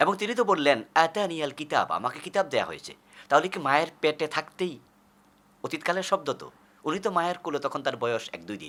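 This man has a fairly high pitch and a bright, sharp tone. His intonation is lively, and his loudness swings a lot. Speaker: Islamic preacher. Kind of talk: sermon.

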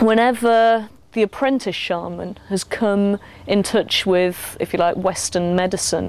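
In a plain, everyday voice, a woman speaks at a fairly slow pace and medium pitch, with fairly even intonation and very even loudness, on a very clean recording with a silent background. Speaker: mental health activist. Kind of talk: interview.

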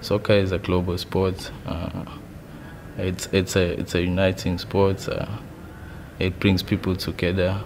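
Over noticeable background noise, a man with a very deep, low voice talks at a fairly slow pace in a monotone, flat way, with long, frequent pauses. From South Africa, Durban area. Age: 20s. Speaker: amateur footballer, competition contestant. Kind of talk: interview testimony. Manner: halting, with fillers and repetitions. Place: studio.

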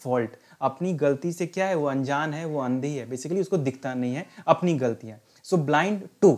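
A man with a normal speaking voice at a moderate pace, ordinary pitch variation, in a very clean recording with a silent background. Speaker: English teacher and retired navy veteran. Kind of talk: lecture. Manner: instructive, mixing Hindi and English.

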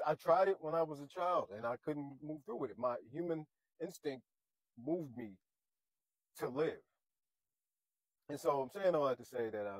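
Against a quiet background, a man speaks at a moderate pace with long, frequent pauses, the sound dry with no echo. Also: big swings in loudness. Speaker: vlogger. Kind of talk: casual vlog chat. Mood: sad, earnest encouragement. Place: car. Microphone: lapel.

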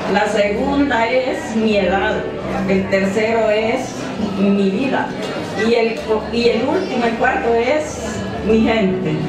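Over clear background music and audible room echo, a woman speaks at a very slow pace. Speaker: honored senior reciting poem. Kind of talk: poetry reading. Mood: emotional, nostalgic. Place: hall.

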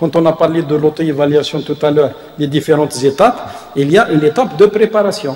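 In audible room echo, a man talks at a moderate pace with ordinary pitch variation. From Algeria. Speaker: university professor and vice-rector; university professor. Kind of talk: lecture. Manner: halting, many hesitations. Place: hall. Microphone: podium.

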